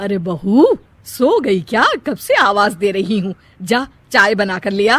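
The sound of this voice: Using a cartoonish character voice, a woman speaks at a slow pace with a medium pitch, big pitch swings and a fairly bright tone.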